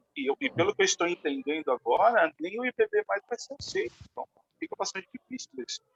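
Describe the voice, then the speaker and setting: A man talks at a fairly quick pace with a high pitch and very wide pitch swings, in a dry, close sound with no echo. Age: 60s. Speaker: pastor. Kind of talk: casual chat. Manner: halting.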